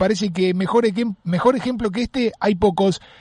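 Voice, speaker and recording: Here a man speaks at a high pitch. His pace is moderate, with ordinary pitch variation. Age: 30s. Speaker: radio host. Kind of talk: radio interview.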